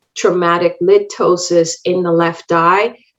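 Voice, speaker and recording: In a Spanish accent, a woman talks at a fairly slow pace. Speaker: optometrist and contact lens educator. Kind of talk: lecture. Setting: online webinar.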